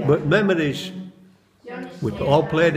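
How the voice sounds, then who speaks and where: A man with a Yorkshire accent at a fairly slow pace, audible room echo and noticeable background noise around him. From Bradford, West Yorkshire, England. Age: 70s. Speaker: local resident, history group member. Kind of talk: reminiscence interview.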